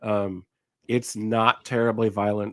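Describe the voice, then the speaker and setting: A man speaks at a fairly slow pace in a medium pitch, with an unremarkable speaking voice. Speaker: movie review podcast host. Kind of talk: casual chat.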